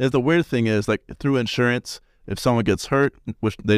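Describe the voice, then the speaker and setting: Speaking at a moderate pace with an American accent, a man uses an ordinary speaking voice with ordinary pitch variation, in a dry, close sound with no echo. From Salt Lake City, Utah. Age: 20s. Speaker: podcast host, college student. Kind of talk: casual chat.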